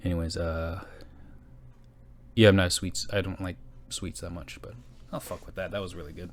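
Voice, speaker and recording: Delivered at a fairly quick pace with vocal fry, the speech has big swings in loudness and long, frequent pauses. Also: man, very deep, low pitch for a man, ordinary pitch variation. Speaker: podcaster. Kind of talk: casual solo podcast chat. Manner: fast.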